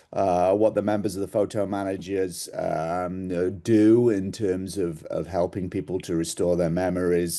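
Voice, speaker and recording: A man's very deep, low voice with a dark, mellow tone and an English accent, fairly even intonation, a moderate pace, hardly any pauses, and a quiet background. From England. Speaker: sales executive. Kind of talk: presentation. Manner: hesitant with fillers.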